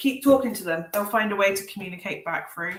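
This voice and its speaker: With music in the background, a woman with an Essex accent speaks at a medium pitch. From Essex, England. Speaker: tarot reader. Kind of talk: live stream tarot readings. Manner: casual chatty.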